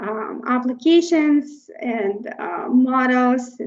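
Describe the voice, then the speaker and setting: A woman with a high-pitched voice speaks with a non-native accent. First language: Russian. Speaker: tech conference speaker. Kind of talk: technical presentation. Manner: hesitant, many fillers.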